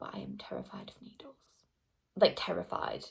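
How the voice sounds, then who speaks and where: A woman with a medium pitch keeps to a moderate pace. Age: 20s. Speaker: beauty vlogger. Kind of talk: casual storytime monologue.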